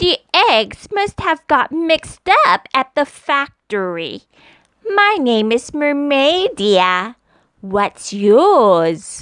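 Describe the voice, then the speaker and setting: A put-on character voice, female-sounding and high-pitched, with very wide pitch swings and a very slow pace. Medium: read story. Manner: sweet, flirtatious.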